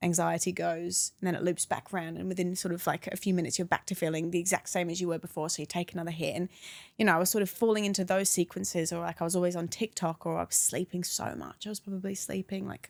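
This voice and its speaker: With an English accent, a woman talks at a very fast pace with hardly any pauses. Her intonation is monotone and flat. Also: fairly low pitch for a woman, dry, close sound with no echo. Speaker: anti-vaping campaigner. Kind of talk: podcast interview, personal story.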